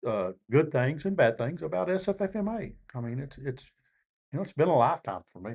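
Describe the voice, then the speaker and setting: At a fairly quick pace, a man with a fairly high pitch and vocal fry speaks with very wide pitch swings. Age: 60s. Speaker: fire service veteran. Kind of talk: podcast panel discussion. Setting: live at a conference.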